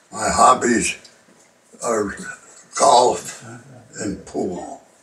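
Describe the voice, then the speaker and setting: A man talks at a very slow pace amid noticeable background noise. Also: long, frequent pauses. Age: 90s. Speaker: war veteran. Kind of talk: interview.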